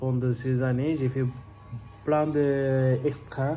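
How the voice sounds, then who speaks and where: Backed by music and audible room echo, a man speaks very slowly at a medium pitch in a monotone, flat intonation. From Bangladesh. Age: 30s. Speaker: restaurant worker practicing job interview. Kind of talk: job interview self-presentation practice. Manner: halting, many hesitations.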